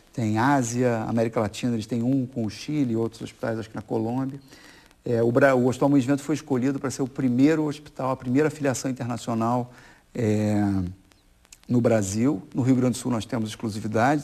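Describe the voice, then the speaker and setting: At a fairly quick pace, a man with a dark, mellow tone speaks at a medium pitch with fairly even intonation. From Brazil, Rio de Janeiro.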